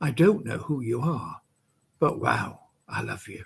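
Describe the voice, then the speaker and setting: With a Welsh accent and lively intonation, a man talks fairly slowly in a fairly high pitch. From Wales. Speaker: poet. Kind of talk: poetry reading.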